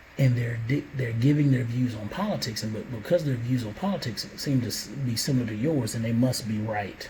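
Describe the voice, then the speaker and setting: A man speaks at a fairly quick pace with ordinary pitch variation, over noticeable background noise and audible room echo. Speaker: father vlogger. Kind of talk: monologue to camera, reflective talk. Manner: hesitant, many fillers and restarts.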